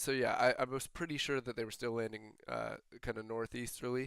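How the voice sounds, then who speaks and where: Mumbling male speech with an American accent, dry and close with no echo. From northeastern Ohio, US (Cleveland area). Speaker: gaming streamer. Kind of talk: live game stream commentary. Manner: mumbly; halting, frequent fillers and restarts.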